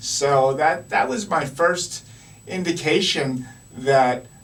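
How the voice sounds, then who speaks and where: Fairly high male voice with ordinary pitch variation, over noticeable background noise. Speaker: radio show host. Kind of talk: talk show conversation. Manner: animated.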